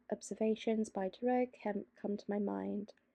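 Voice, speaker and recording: Soft-spoken, a woman talks in a dry, close sound with no echo. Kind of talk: soft-spoken reading of a leftist text, ASMR-style.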